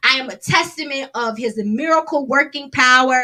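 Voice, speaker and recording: The voice is loud, with a bright, sharp tone. Its intonation is lively. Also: woman. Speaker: gospel singer and songwriter. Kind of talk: casual livestream talk.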